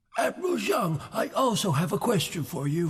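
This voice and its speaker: The pace stays moderate. It's a cartoonish character voice. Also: man, high pitch for a man. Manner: questioning, suspicious.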